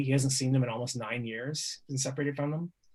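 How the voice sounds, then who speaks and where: A man's medium-pitched, somewhat breathy voice in a monotone, flat delivery. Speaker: poet and activist. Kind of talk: panel discussion.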